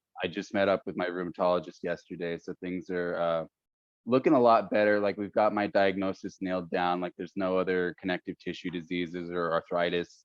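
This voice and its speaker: A man with an American accent, talking at a fairly quick pace in a monotone, flat intonation. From Northern California (Stockton). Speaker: podcast host. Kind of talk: casual interview conversation. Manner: halting, many fillers.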